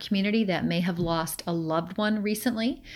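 Here is a woman with an ordinary speaking voice at a medium pitch. She talks at a fairly quick pace with ordinary pitch variation. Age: 50s. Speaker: provincial politician. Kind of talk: constituency update address.

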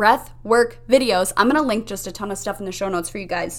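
Using a warm, upbeat tone, a woman talks at a very fast pace with ordinary pitch variation. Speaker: mindset coach and podcast host. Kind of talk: pep talk. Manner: warm, encouraging, upbeat; guiding, instructive, calm pacing.

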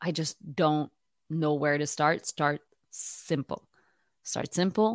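In a Quebec accent, a woman speaks at a very deep, low pitch and a fairly slow pace, her intonation fairly even. The recording is very clean with a silent background, and the sound is dry and close with no echo. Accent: Québécois French-accented English. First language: French. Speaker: knitting podcaster. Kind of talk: casual tutorial monologue. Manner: hesitant, with fillers.

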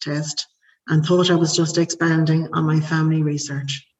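A woman with an Irish accent speaks at a moderate pace with a fairly low pitch. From Ireland. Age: 40s. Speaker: podcast guest sharing family story. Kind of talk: personal testimony, largely read from prepared text. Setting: remote call.

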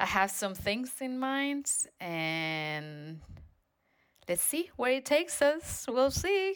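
Very wide swings in pitch at a very slow pace. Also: woman, high pitch for a woman. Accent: Spanish. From Spain. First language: Spanish. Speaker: dance company artistic director. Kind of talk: interview.

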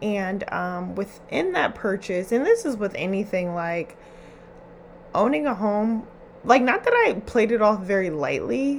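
A woman speaks in an animated tone at a fairly slow pace. Noticeable background noise runs under her voice. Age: 20s. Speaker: podcast host. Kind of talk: casual monologue.

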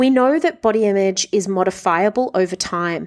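A woman's medium-pitched voice with an Australian accent and ordinary pitch variation. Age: 30s. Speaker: body image coach and podcast host. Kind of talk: solo podcast monologue.

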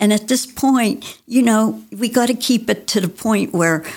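A woman's voice with vocal fry, lively intonation and a fairly slow pace. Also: very clean recording, silent background. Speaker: retired lawyer, city council candidate. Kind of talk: interview. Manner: halting.

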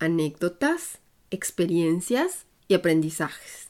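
A woman's voice with very wide pitch swings. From Mexico, Puebla. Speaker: podcast host and expat coach. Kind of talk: scripted narration.

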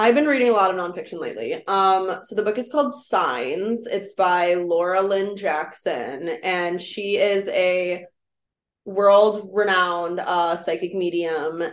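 Medium in pitch with ordinary pitch variation, a woman talks in an unremarkable speaking voice. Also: fairly slow pace. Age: 20s. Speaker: podcast co-host. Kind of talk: casual chat.

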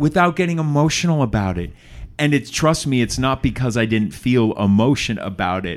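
With lively intonation and a fairly quick pace, a man talks in an ordinary speaking voice at medium pitch. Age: 40s. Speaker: podcast host. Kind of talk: interview.

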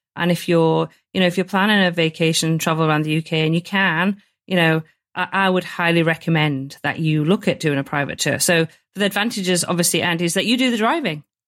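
At a very fast pace, a woman with a northern English accent speaks at a fairly low pitch with ordinary pitch variation and very even loudness on a very clean recording with a silent background. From northern England. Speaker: podcast host. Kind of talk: interview.

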